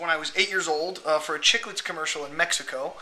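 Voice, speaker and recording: Over light background noise, a man speaks in a raised, projected voice. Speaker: magician and hypnotist. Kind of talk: casual talk to camera.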